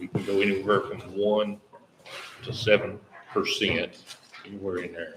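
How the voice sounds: A man's low-pitched voice, fairly bright in tone, with little pitch movement. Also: moderate pace.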